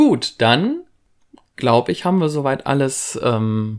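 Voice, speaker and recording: Moving at a very slow pace, a man speaks with ordinary variation in pitch. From western Germany, Lower Rhine (Viersen). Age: 30s. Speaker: fan podcast co-host. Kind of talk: casual chat.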